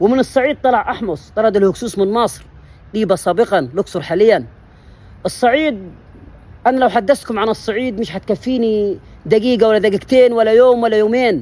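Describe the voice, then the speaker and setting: A man in an Upper Egyptian accent, high-pitched and animated, at a moderate pace with ordinary pitch variation. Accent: Upper Egyptian (Saidi) dialect. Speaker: history channel presenter. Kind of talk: impassioned monologue.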